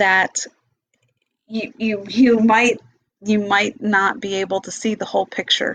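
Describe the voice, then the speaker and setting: A woman with a medium pitch and monotone, flat intonation, at a fairly slow pace with long, frequent pauses. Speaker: meditation teacher and vlogger. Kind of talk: casual monologue.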